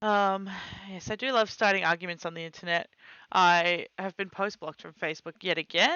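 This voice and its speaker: A quiet woman's voice at medium pitch, fairly even in intonation and fairly quick, with big swings in loudness. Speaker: streamer. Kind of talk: casual chat. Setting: live stream.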